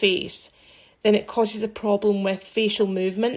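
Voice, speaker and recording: In a Scottish accent, a woman speaks at a moderate pace and medium pitch with monotone, flat intonation, on a very clean recording with a silent background. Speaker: aesthetics practitioner. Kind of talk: social media commentary. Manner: casual, conversational.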